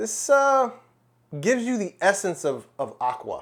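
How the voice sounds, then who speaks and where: Lively intonation marks this man's speech, delivered with an American accent. The recording is very clean, with a silent background. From United States. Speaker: fragrance reviewer. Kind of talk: product review. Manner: casual, conversational with fillers; animated exclamations.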